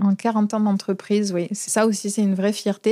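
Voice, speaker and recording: With a southern French accent, a woman talks at a moderate pace in a medium pitch with a dark, mellow tone. The sound is dry and close with no echo, and the recording is very clean over a silent background. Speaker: plumbing and heating company manager. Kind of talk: interview answer.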